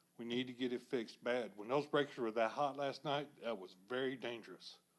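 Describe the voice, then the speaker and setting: Speaking in a Texan accent, a man keeps his intonation fairly even. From Texas, Pasadena. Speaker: public commenter, retiree. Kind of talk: public comment at city council. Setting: city council meeting room.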